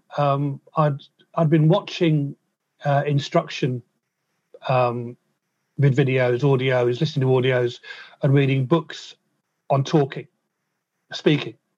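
A man speaks at a fairly high pitch, somewhat breathy and with fairly even intonation. He leaves long, frequent pauses. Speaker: musician and percussionist. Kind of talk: interview, telling his life story. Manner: repeats words, occasional stammer-like hesitations.

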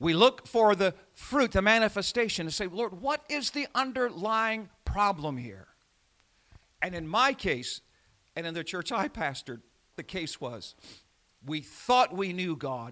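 A man with an American accent speaks at a fairly slow pace in a high, bright, sharp, raised and projected voice, his pitch swinging very widely, on a very clean recording with a silent background. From Indiana. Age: 70s. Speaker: pastor. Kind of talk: sermon. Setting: church.

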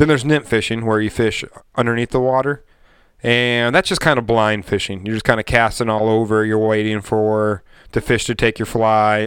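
A man's medium-pitched voice with an American accent, at a moderate pace with fairly even intonation: an ordinary speaking voice. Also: very clean recording, silent background. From Michigan. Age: 30s. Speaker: podcast host. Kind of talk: casual chat. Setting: studio.

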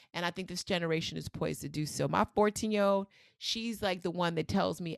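In a New York accent, a woman with a fairly low pitch talks at a very fast pace, her pitch varying in an ordinary way. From New York City. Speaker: researcher and author.

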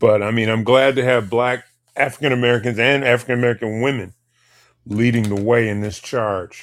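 A man talks at a fairly quick pace and medium pitch. His intonation is fairly even. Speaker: co-host and moderator. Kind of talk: casual talk show.

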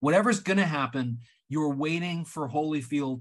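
A man speaks at a moderate pace in a plain, everyday voice, with ordinary pitch variation over a quiet background. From Canada. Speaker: writer and filmmaker. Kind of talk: casual chat.

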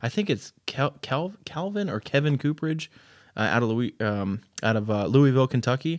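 Here a man speaks with an American accent at a moderate pace, with medium pitch and lively intonation. The sound is dry and close, with no echo. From Maryland, Baltimore County. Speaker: podcast host. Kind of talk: casual chat.

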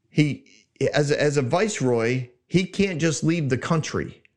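A man talks in a fairly high pitch with an animated tone. His pitch varies in an ordinary way. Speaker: Bible teaching podcast host. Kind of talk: Bible teaching monologue. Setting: studio. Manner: loud.

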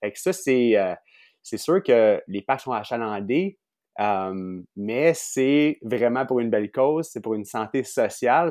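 A man talks at a very slow pace with lively intonation. The sound is dry and close with no echo, over a quiet background. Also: medium pitch for a man. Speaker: podcast host. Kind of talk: interview.

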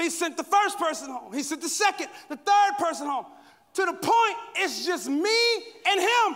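A man speaks at a moderate pace in an animated tone. His pitch is extremely high, with ordinary variation. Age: 40s. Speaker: guest pastor. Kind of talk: sermon. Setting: stage with audience.

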